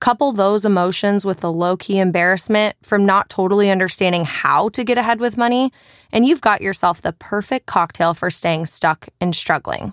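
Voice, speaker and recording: A woman with a normal speaking voice talks at a moderate pace with hardly any pauses, her pitch medium and its variation ordinary. The sound is dry and close, with no echo. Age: 20s. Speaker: author narrating own audiobook. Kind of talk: audiobook narration.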